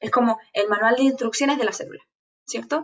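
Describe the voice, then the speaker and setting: Her intonation lively, a woman speaks with a fairly high pitch. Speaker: teacher. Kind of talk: online lecture. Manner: fast; animated.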